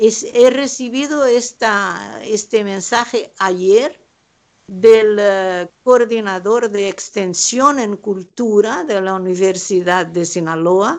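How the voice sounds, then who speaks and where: A woman's lively intonation at a very slow pace, in a Brazilian accent. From southern Brazil, Pelotas. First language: Portuguese (speaking Spanish). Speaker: painter. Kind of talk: panel discussion. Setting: remote call from home.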